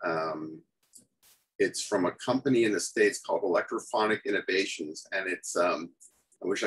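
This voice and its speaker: In a Canadian accent, a man talks at a moderate pace. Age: 60s. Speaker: music journalist and guitarist. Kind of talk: casual chat.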